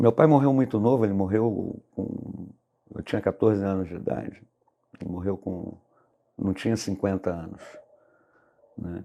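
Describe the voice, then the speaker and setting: A man with a dark, mellow tone and fairly low pitch talks at a moderate pace, using ordinary pitch variation, big swings in loudness, and long, frequent pauses. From Brazil, Niterói, Rio de Janeiro. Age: 50s. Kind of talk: interview testimony. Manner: halting, with frequent fillers.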